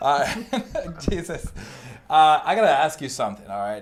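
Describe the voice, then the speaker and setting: Speaking at a fairly quick pace, a man with a French accent uses ordinary pitch variation. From France. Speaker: comedy talk show host. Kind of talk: comedy sketch interview. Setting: live online stream.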